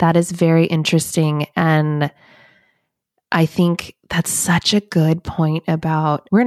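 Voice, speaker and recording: A woman's fairly low, fairly slow delivery, a normal speaking voice with fairly even intonation, in a very clean, dry, close recording with a silent background and no echo. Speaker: podcast host and author. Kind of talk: interview, conversational. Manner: warm, affirming.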